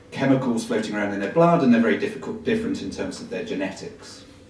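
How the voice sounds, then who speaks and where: Speaking at a very fast pace with very wide pitch swings, a man is heard amid noticeable background noise and audible room echo. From England. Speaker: medical professor. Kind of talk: public talk. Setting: live audience. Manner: hesitant with fillers.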